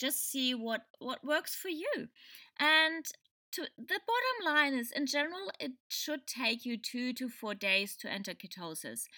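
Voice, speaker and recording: A woman's high-pitched, raised and projected voice with a German accent, bright and sharp in tone, lively in intonation, at a fairly slow pace. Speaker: podcast host. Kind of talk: solo podcast explainer. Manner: halting, many fillers.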